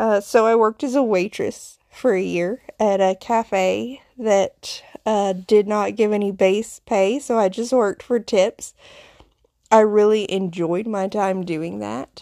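With a Southern US accent, a woman speaks at a very slow pace in a medium pitch with fairly even intonation. Her tone is dark and mellow, and the sound is dry and close with no echo. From Appalachian foothills, US South. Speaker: podcast host, nurse, witch. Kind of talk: solo podcast monologue, personal storytelling. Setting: solo recording. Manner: conversational, reflective, with fillers.

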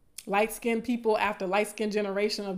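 In a Southern US accent, a woman speaks at a medium pitch with monotone, flat intonation. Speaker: podcast host and academic. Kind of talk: live stream talk about colorism. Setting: live stream online. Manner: casual, chatty, laughs often.

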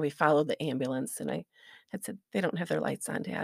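The speaker has an American accent and a voice with vocal fry. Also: woman. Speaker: church member, mother of three. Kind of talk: testimony.

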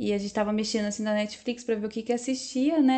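A woman speaks with a fairly high pitch and fairly even intonation. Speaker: podcast co-host. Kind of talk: casual pop culture chat with news reading.

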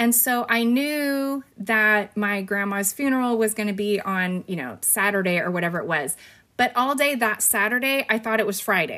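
A woman with a bright, sharp tone and a fairly high pitch speaks at a moderate pace with ordinary pitch variation. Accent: Californian. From California (Fresno). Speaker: teacher and podcast host. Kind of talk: casual interview.

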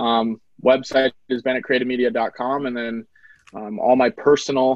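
With an Upper Midwest accent, a man speaks at a medium pitch. His intonation is monotone and flat. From North Dakota. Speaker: videographer and business owner. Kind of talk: casual interview.

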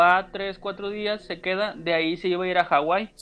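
A man speaks at a moderate pace in a high pitch, his intonation fairly even, while noticeable background noise carries on. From Mazatlán, Mexico. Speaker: wrestling podcaster. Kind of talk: casual chat. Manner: halting, repeats words.

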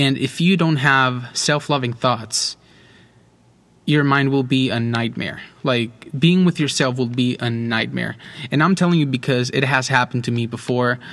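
This man talks at a moderate pace with fairly even intonation. His pitch is medium. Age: 20s. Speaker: podcast host. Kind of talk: solo monologue podcast. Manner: halting, many fillers and repetitions.

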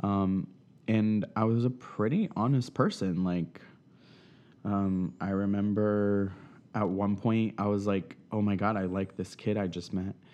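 Against a quiet background, a man with a dark, mellow tone and fairly low pitch speaks at a fairly slow pace, his intonation fairly even. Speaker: interviewee sharing life story. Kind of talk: interview. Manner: hesitant, many fillers.

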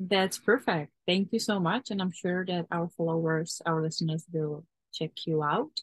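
A woman has an ordinary speaking voice at a fairly low pitch, moving at a moderate pace with ordinary pitch variation. The sound is dry and close, with no echo. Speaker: podcast host. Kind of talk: casual interview chat.

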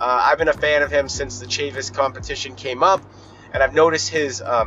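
With music in the background, a man talks at a fairly quick pace in a fairly high voice. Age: 30s. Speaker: podcast host. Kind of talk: casual solo monologue. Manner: casual, profane ranting.

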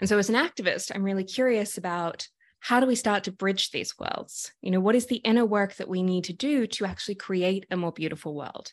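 Speaking with an Australian accent, a woman uses a medium pitch and ordinary pitch variation at a fairly quick pace. She leaves hardly any pauses, and the background is quiet. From Sydney, Australia. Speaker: activist and coach. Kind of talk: casual interview conversation. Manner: animated.

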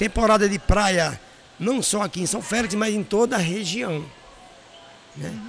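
A man with a high pitch talks with ordinary pitch variation and long, frequent pauses. Noticeable background noise is present. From Brazil, Paraíba (Northeast). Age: 50s. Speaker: restaurant and hotel owner. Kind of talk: interview. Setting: at the guest's restaurant.

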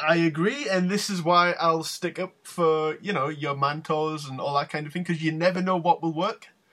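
This man has a British accent and a high pitch for a man. He talks at a moderate pace with fairly even intonation and hardly any pauses. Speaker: wrestling podcast host. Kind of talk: casual chat.

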